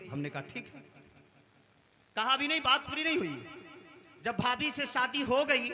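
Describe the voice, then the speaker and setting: A man's raised, projected voice amid noticeable background noise. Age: 40s. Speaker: Islamic preacher. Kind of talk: sermon.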